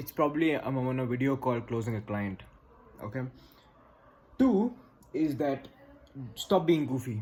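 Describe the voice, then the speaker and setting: A man in a Bangalorean Indian accent speaks at a medium pitch with ordinary pitch variation. His pace is moderate, with long, frequent pauses. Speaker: business advice creator. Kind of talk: direct-to-camera advice talk. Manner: confident, assertive.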